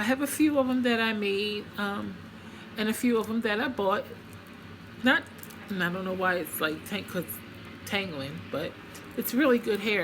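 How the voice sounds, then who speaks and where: Lively in intonation and fairly slow in pace, a woman speaks at medium pitch amid noticeable background noise. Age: 60s. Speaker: beauty vlogger. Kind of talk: makeup product review vlog. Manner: hesitant, many fillers.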